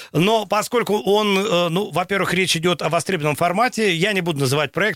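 Talking at a very fast pace, the man has a high-pitched voice. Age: 40s. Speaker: radio host. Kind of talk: radio talk show.

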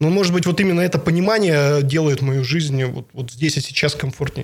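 Somewhat breathy and fairly high-pitched, a man talks at a moderate pace. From Bratsk, Irkutsk region, Russia. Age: 30s. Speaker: regional politician. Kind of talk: interview.

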